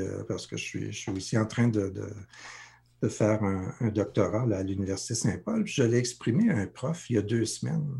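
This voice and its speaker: A man at a medium pitch and moderate pace, dark and mellow in tone, somewhat breathy, with ordinary pitch variation. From Sudbury region, northern Ontario, Franco-Ontarian. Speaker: life coach. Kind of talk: interview. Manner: halting, many repetitions.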